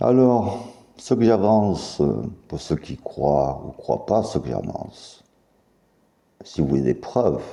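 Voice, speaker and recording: A man's dark, mellow voice with vocal fry and very wide pitch swings, at a very slow pace with long, frequent pauses. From US South, Mississippi. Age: 50s. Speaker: YouTuber making claims about secret affairs. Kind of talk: monologue to camera. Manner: halting.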